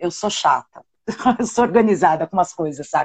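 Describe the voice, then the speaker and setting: A woman's voice moves in very wide pitch swings. The sound is dry and close, with no echo. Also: quiet background. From Brazil, São Paulo. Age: 40s. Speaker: cultural producer. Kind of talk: live-stream interview.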